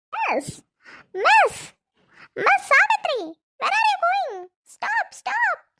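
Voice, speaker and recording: In a cartoonish character voice, a woman speaks at an extremely high, squeaky pitch, fairly slowly and with lively intonation. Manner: speaks only English.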